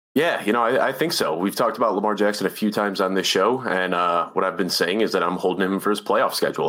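Very fast speech from a man comes through noticeable background noise. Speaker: fantasy football writer and analyst. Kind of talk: casual chat about fantasy football analytics. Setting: video call.

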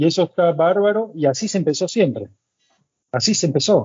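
The intonation is lively. Delivery moves at a moderate pace. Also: man. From Argentina, Buenos Aires. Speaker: chef. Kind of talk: casual chat.

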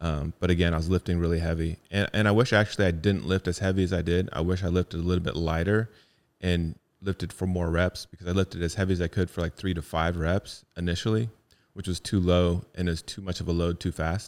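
In a very deep, low voice, a man speaks at a very fast pace with monotone, flat intonation on a very clean recording with a silent background and a dry, close sound with no echo. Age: 40s. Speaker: fitness podcast co-host. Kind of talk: casual chat.

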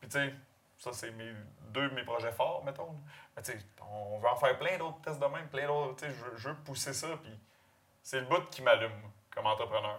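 A man with a Quebec accent speaks at a moderate pace and fairly high pitch, with long, frequent pauses, big swings in loudness and ordinary pitch variation. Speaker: pig farmer. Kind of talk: casual interview.

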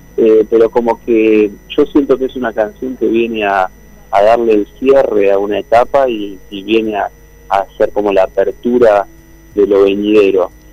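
A man with a plain, everyday voice, fairly low pitch, fairly even intonation, and a moderate pace. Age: 40s. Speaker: singer-songwriter. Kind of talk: interview.

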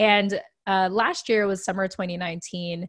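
A woman's normal speaking voice at medium pitch, with fairly even intonation. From US, raised in military family. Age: 30s. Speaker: podcast guest, veterans advocate. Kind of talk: casual interview.

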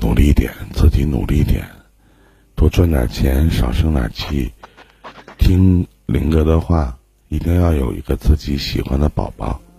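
Noticeable background noise sits behind a man with a very deep, low voice and ordinary pitch variation. He goes at a fairly slow pace with long, frequent pauses. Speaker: livestream relationship advice host. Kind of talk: live call-in advice chat. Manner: casual, joking.

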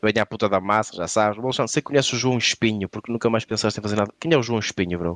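A man speaks very fast in a fairly low voice, with ordinary pitch variation. The sound is dry and close with no echo, over a quiet background. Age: 30s. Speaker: comedian. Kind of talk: casual chat.

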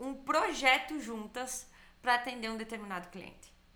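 Music plays in the background as a woman speaks with a high pitch. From Bento Gonçalves, southern Brazil. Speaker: business trainer. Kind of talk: casual chat.

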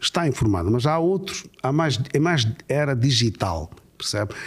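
A man speaks at a moderate pace with lively intonation. His voice is somewhat breathy. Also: very clean recording, silent background. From Mozambique. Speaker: imam. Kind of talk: interview.

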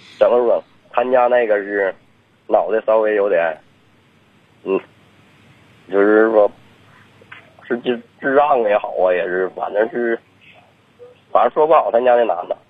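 A man is talking at a fairly slow pace. Noticeable background noise runs underneath. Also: long, frequent pauses. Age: 30s. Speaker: caller. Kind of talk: phone-in call.

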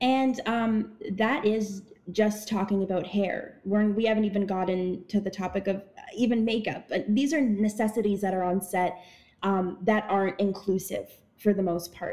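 Talking at a moderate pace and medium pitch, a woman has an unremarkable speaking voice. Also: fairly even intonation. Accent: Canadian. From Ottawa, Canada. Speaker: actress and activist. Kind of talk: interview.

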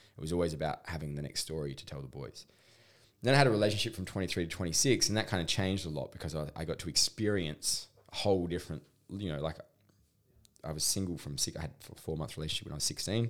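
Very fast, lively speech in a strong Australian accent, on a very clean recording with a silent background. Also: man, very deep, low pitch for a man. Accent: broad Australian. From rural Australia. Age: 30s. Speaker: intimacy coach. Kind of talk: podcast interview.

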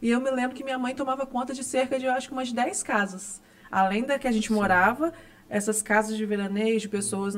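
This woman uses an ordinary speaking voice at a fairly quick pace, with ordinary pitch variation. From Santa Clara, Rio de Janeiro state, Brazil. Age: young. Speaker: cancer patient. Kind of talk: testimony.

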